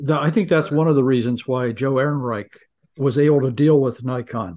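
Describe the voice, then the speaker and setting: A man speaks in a dark, mellow tone at a medium pitch. His pace is fairly quick, with ordinary pitch variation. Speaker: podcast co-host. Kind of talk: casual chat.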